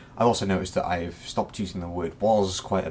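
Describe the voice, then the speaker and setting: A man talks at a fairly quick pace in a very deep, low pitch. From Wales. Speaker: vlogger. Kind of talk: casual vlog talk to camera. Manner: rambling, casual.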